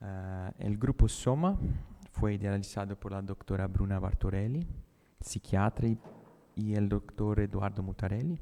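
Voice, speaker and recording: A man with a Brazilian accent speaks in a fairly low pitch with a dark, mellow tone. His pace is fairly slow, with ordinary pitch variation. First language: Portuguese (speaking Spanish). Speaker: neurologist. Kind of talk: conference talk. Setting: conference auditorium, hybrid event.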